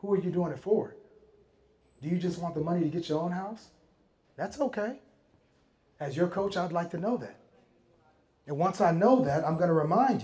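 Pitched high for a man, his voice has a dark, mellow tone. He talks at a moderate pace with lively intonation. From Miami, Florida. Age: 40s. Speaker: real estate investor. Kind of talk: talk at a meetup. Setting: stage with audience. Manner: animated.

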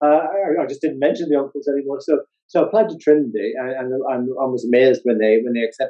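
A man talks very fast at a medium pitch against a quiet background. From Northern Ireland. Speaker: psychology professor and author; interviewee. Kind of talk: interview. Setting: video call. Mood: warm, amused. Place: home room. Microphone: video call.

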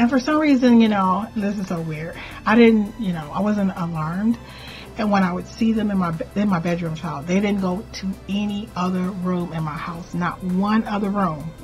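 A woman's voice with ordinary pitch variation over faint music in the background. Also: moderate pace. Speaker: spiritual content creator. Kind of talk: casual vlog storytelling. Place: home room. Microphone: webcam.

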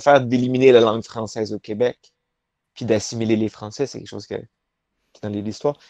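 At a fairly quick pace, a man speaks with fairly even intonation, the sound dry with no echo and the background quiet. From Quebec, Laval near Montreal; Quebec. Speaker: professional wrestler; interview guest. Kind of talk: interview. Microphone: video call.

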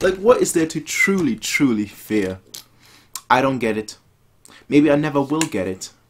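A man speaks at a medium pitch and a fairly slow pace. His pitch swings widely.

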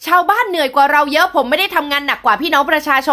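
A woman's pitch varies in an ordinary way as she talks over a quiet background. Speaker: professional MC and public speaking coach. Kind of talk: upbeat news-style summary to camera for short video. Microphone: phone near.

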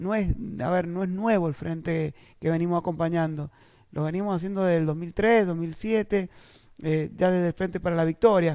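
A man speaks at a moderate pace in a high pitch with a dark, mellow tone. His intonation stays fairly even against a quiet background. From Argentina, San Juan province. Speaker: party leader and government official; politician. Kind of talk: interview. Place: studio. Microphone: headset.

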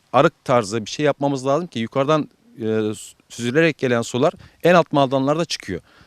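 A man's fairly high voice with ordinary pitch variation, in a dry, close sound with no echo. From Turkey, Alanya. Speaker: avocado nursery owner. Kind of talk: interview. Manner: hesitant with many fillers.

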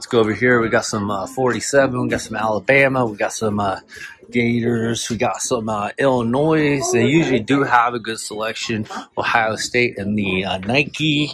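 With noticeable background noise behind him, a man talks at a moderate pace with ordinary pitch variation. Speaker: hat collector vlogger. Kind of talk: casual vlog chat. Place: shop. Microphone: phone near.

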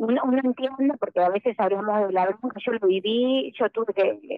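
This woman's voice shows ordinary pitch variation. The sound is dry, with no echo. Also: quiet background. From Argentina. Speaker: special education teacher and speaker; special education teacher, speaker. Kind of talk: interview. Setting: remote call-in. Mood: earnest, committed. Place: studio.

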